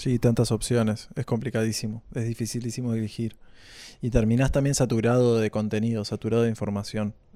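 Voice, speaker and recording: Speaking in a dark, mellow tone at a medium pitch, a man moves at a fairly quick pace with monotone, flat intonation. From Uruguay, Maldonado coast (Portezuelo). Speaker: musician. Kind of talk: casual interview.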